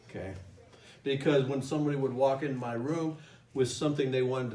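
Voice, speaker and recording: Amid audible room echo, a man with a medium pitch speaks at a very fast pace with ordinary pitch variation. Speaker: course instructor. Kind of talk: lecture. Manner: direct.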